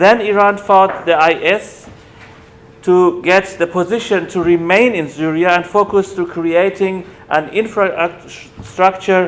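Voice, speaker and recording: In a German accent, a man speaks fairly slowly at a high pitch with fairly even intonation. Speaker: academic lecturer on human rights. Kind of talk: lecture. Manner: halting, with self-corrections.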